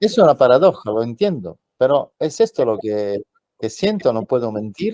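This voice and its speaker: This man's voice sits at a medium pitch and swings very widely, with a dark, mellow tone. He moves at a moderate pace, and the sound is dry and close with no echo. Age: 60s. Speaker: journalist and UFO contactee. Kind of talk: interview answers. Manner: halting.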